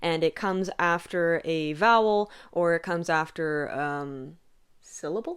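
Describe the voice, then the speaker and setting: This is a normal speaking voice with an American accent and ordinary pitch variation. The recording is very clean, with a silent background. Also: woman. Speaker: content creator on ancient hymns. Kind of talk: tutorial. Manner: casual, with fillers.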